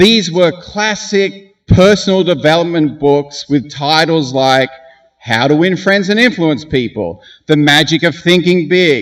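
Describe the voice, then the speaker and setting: A man talks at a fairly slow pace with an Australian accent. His pitch variation is ordinary. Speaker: graduation speaker. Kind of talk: commencement speech.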